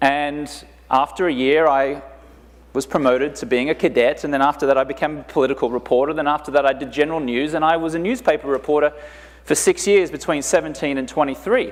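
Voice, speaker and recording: A man with an Australian accent talks at a very fast pace in a fairly high pitch, keeping his intonation fairly even. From Australia, Brisbane. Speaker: conference speaker, entrepreneur. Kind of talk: motivational talk.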